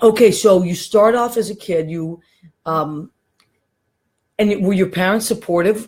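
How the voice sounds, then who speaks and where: A woman talks at a fairly slow pace, with long, frequent pauses. Her pitch is medium, and it varies in an ordinary way. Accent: American. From Massachusetts. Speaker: talk show host. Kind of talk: casual chat. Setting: studio with small audience. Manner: animated.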